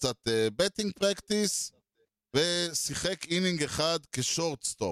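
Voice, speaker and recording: Very slow speech from a man, with very wide pitch swings and a dry, close sound with no echo. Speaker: podcast co-host. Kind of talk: casual chat.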